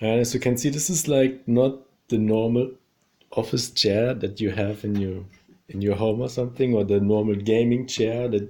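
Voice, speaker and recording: In a non-native accent, a man with a dark, mellow tone speaks at medium pitch and a moderate pace with fairly even intonation, in a very clean recording with a silent background. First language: not English. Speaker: YouTuber reviewing his chair. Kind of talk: casual product review. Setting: at home in his apartment. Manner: hesitant, many fillers.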